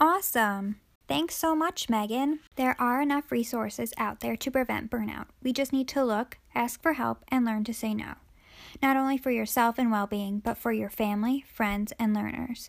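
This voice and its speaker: Moderately paced, this is an ordinary speaking voice with ordinary pitch variation. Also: woman. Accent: American. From New Jersey (Jersey Shore). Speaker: behavior analysis student and therapist. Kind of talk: structured debate. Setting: remote recording.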